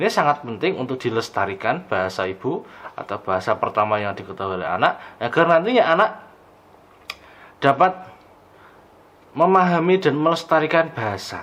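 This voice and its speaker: Against noticeable background noise, a man at a fairly high pitch talks at a fairly quick pace, with very wide pitch swings and long, frequent pauses. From Banjarnegara, Central Java, Indonesia. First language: Javanese (Banyumasan dialect) (speaking Indonesian). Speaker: lecturer. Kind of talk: lecture.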